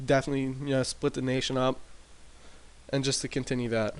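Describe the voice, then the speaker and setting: A man at medium pitch and a fairly quick pace, against a quiet background. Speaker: gaming commentator. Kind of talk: casual gameplay commentary. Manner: hesitant, many fillers.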